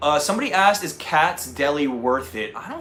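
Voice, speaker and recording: Over music in the background, a man with a slight North Jersey accent speaks in an animated tone at a moderate pace. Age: 30s. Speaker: travel vlogger. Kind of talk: casual chat. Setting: livestream.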